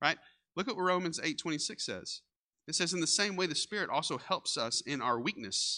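In a Texan accent, a man talks at a moderate pace with a high pitch, very wide pitch swings and a bright, sharp tone, the sound dry and close with no echo over a quiet background. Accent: Texan Southern US. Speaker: pastor. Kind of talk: sermon. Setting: church. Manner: casual, conversational.

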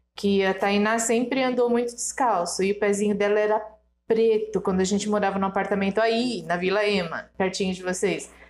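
Fairly even intonation runs through a plain, everyday voice moving at a moderate pace. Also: woman, medium pitch for a woman. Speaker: guest, host's mother. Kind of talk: casual chat.

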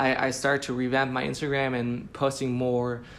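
Audible room echo surrounds a man of medium pitch who talks at a moderate pace with monotone, flat intonation. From Switzerland (Zurich). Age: 20s. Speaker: lettering artist. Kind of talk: casual interview.

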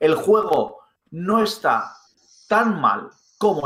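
A man speaks with a bright, sharp tone. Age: 30s. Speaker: gaming podcast co-host. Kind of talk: casual chat.

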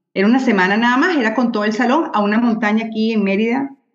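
A woman's fairly high voice in a Venezuelan accent, very fast, with audible room echo. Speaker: journalist and mother of children with diabetes. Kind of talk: casual interview conversation.

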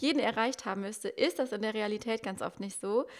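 On a very clean recording with a silent background, a woman talks fairly quickly in a plain, everyday voice, fairly high in pitch with fairly even intonation. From Westerwald, western Germany. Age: 20s. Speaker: Instagram marketing mentor. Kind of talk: podcast interview.

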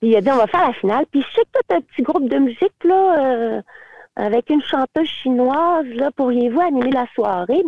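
With a Quebec accent, a woman speaks at a high pitch with very wide pitch swings. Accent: Québécois French. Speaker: teacher and singer-songwriter. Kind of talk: casual interview.

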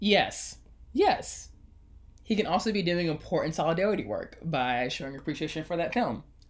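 Here a man talks at a moderate pace in a high pitch, his intonation lively. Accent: American. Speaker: podcast host. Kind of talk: casual chat. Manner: sarcastic tone.

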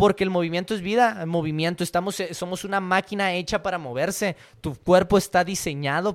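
The recording is very clean, with a silent background. A man talks in a high pitch. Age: 20s. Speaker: podcast host, fitness coach. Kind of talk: solo podcast monologue, reading and commenting an article.

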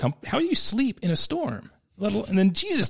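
A man at a very fast pace with very wide pitch swings. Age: 40s. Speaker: surf shop owner. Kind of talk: casual Bible discussion. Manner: frequent repetitions and restarts.

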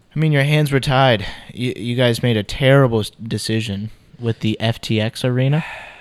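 Fairly quick and fairly even in intonation, a man talks at medium pitch. His is a plain, everyday voice. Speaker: basketball podcast co-host. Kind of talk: casual chat.

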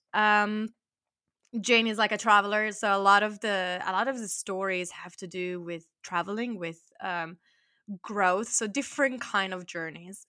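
The quiet background sets off a woman with a bright, sharp tone at medium pitch, speaking at a moderate pace with fairly even intonation and big swings in loudness. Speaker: podcaster. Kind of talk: interview.

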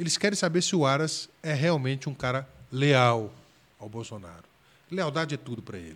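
With an ordinary speaking voice, a man at a fairly high pitch speaks at a moderate pace, his intonation lively and his loudness swinging widely. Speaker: federal public defender. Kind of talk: casual interview chat.

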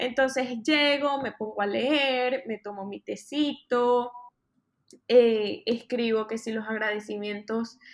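With a Venezuelan accent, a woman speaks at a fairly slow pace, her fairly high pitch showing ordinary variation. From Venezuela, Maracay. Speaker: fashion influencer. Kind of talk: casual interview.

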